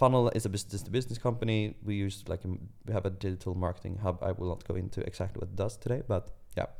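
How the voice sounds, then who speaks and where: Speaking at a very fast pace with hardly any pauses, a man uses a fairly low pitch. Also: fairly even intonation. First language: Swedish. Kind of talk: casual chat.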